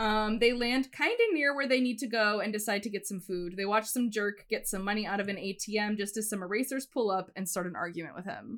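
At a fairly quick pace, a woman speaks with hardly any pauses. Her pitch is fairly high, with ordinary variation. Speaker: podcast co-host. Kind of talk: casual chat. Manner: animated.

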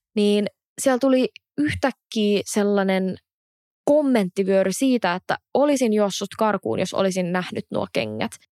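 In a dry, close sound with no echo, a woman speaks fairly slowly at a medium pitch with ordinary pitch variation. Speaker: podcast host. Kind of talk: casual chat.

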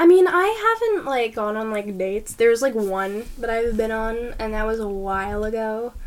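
This woman has an ordinary speaking voice, fairly high in pitch with ordinary variation, moving at a moderate pace with hardly any pauses. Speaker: podcast co-host, university student. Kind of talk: casual chat.

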